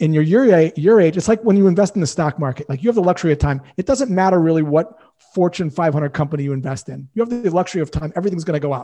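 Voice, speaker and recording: A man's high-pitched, dark, mellow voice at a very fast pace with lively intonation. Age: 50s. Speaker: sales coach. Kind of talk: casual chat. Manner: animated.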